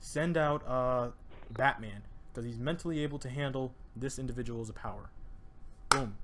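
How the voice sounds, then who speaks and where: A man speaks fairly quickly at a medium pitch, with ordinary pitch variation. There is audible echo in the room. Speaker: podcast host. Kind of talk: casual chat. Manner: fast; animated.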